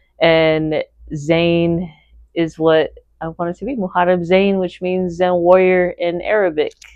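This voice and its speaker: A woman with an American accent, fairly low in pitch, at a fairly slow pace, with monotone, flat intonation. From US West Coast, Fremont, California. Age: 30s. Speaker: podcast guest, host's wife. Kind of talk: casual interview.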